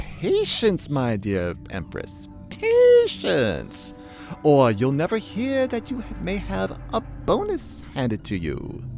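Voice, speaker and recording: A put-on character voice with a smug, theatrical tone at a very slow pace, over clear music in the background. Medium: audio drama. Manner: smug, theatrical, mocking.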